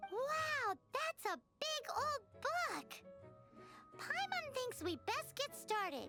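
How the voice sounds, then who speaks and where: A squeaky, extremely high put-on character voice at a very slow pace over loud music in the background. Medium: video game. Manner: refers to herself in third person.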